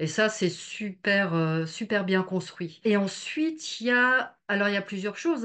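At a fairly slow pace, a woman speaks with ordinary pitch variation against a quiet background. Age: 50s. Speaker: energy healer. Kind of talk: testimony. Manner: halting, many hesitations. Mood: warm, enthusiastic. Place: home room. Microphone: video call.

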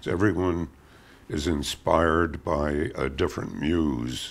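A man talks with a very deep, low pitch and vocal fry. His pitch varies in an ordinary way. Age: 80s+. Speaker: cartoonist. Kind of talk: interview answer. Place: studio. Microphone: lapel.

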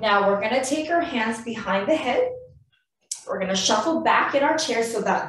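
In a room with audible echo, a woman speaks at a fairly high pitch with very wide pitch swings. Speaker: physiotherapist. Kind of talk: guided exercise class. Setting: video call. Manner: calm, clear, step-by-step cueing; encouraging. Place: home room. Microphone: webcam.

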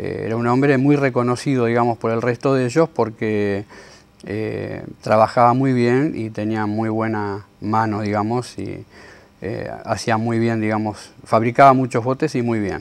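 Using fairly even intonation, a man speaks at a fairly slow pace. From Argentina, Tigre (Buenos Aires province). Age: 50s. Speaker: boat carpenter. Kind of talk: interview. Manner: hesitant, many fillers. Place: workshop.

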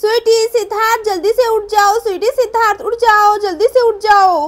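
In a put-on character voice, a woman shouts loudly at a moderate pace, her pitch extremely high and her intonation fairly even. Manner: shouting loudly.

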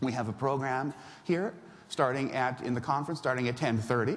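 At a moderate pace, a man delivers his lines. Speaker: conference emcee. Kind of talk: event hosting and speaker introductions. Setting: stage with audience. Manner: animated, jokey. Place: hall.

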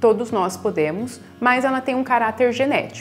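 A woman talks at a moderate pace with faint music behind her. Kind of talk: health explainer segment. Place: office. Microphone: lapel.

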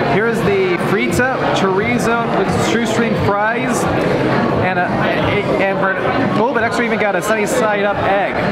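Music in the background behind a man talking fairly slowly. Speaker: food vlogger. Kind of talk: casual vlog chat. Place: cafe. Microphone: phone near.

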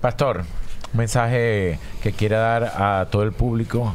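Light background noise sits behind a man with a plain, everyday voice and a fairly low pitch. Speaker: radio host; show host interviewer. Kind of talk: casual chat. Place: studio. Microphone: studio mic.

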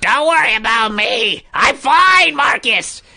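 A female-sounding, raspy, put-on character voice comes through high in pitch at a fairly slow pace.

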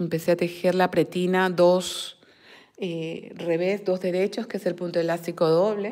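Over a quiet background, a woman with a fairly low pitch and a dark, mellow tone speaks at a fairly slow pace with fairly even intonation. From Peru, Lima; Peru. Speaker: crochet and knitting teacher; knitting teacher. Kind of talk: live-stream tutorial and chat. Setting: live stream at a table. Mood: warm, affectionate. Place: home room. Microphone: phone near.

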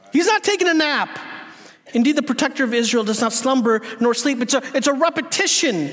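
Fairly quick pace, lively intonation, and a fairly bright tone. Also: man, extremely high pitch for a man.

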